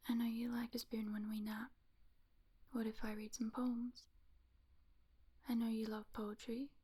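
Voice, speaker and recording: Soft-spoken and monotone, a woman with a fairly high pitch and a dark, mellow tone speaks with long, frequent pauses. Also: fairly slow pace. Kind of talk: ASMR roleplay, pillow talk.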